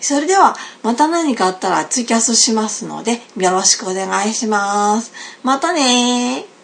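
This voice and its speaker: Noticeable background noise sits behind a woman's fairly high voice. She speaks at a moderate pace with lively intonation. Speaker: podcast host. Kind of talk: casual chat. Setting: Skype call.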